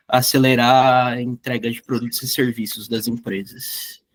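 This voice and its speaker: Recorded with a dry, close sound and no echo, a man with a normal speaking voice and medium pitch talks at a fairly slow pace. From Barueri, São Paulo, Brazil. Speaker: software developer, startup co-founder. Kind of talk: casual group chat.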